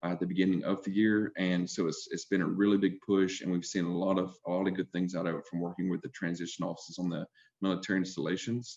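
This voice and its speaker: Very fast and monotone, a man with an Alabama accent talks at a very deep, low pitch. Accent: Southern US (Alabama). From US South. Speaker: healthcare recruiter, army veteran. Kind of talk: panel discussion. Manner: hesitant, many fillers.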